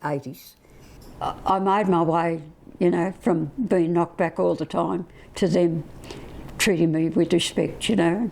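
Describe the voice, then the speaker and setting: A woman's fairly low voice with an Australian accent at a moderate pace. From Australia, Bega NSW. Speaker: retired business founder. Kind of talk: interview testimony.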